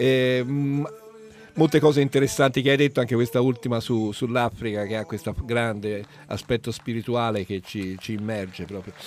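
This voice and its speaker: Here is a man with an unremarkable speaking voice, medium in pitch, showing ordinary pitch variation and moving at a moderate pace. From Italy, Florence. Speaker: radio host. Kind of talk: casual chat.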